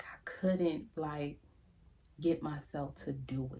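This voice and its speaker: Soft-spoken, a woman speaks with a dark, mellow tone and fairly even intonation. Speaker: YouTuber giving life advice. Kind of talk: casual monologue to camera. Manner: conversational, repetitive fillers.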